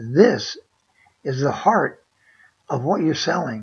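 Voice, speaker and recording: A woman speaks with lively intonation and a touch of vocal fry. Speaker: online seller. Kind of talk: screen-share tutorial. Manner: hesitant, many fillers; casual, conversational.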